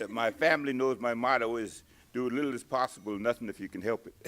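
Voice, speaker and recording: Noticeable background noise behind a man talking at a medium pitch with fairly even intonation. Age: 80s+. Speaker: retired golfer and former junior golf coach. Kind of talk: interview. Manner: halting.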